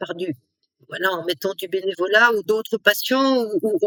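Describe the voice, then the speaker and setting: A woman talks at a moderate pace in a plain, everyday voice of medium pitch, with a dry, close sound with no echo. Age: 60s. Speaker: entrepreneur and coach. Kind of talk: interview conversation.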